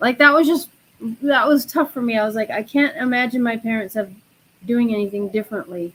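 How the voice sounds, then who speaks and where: A woman with an American accent speaks at a high pitch and a fairly quick pace. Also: ordinary pitch variation. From Chicago area, US Midwest. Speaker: spiritual guest, tarot reader. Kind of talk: personal story in a live chat.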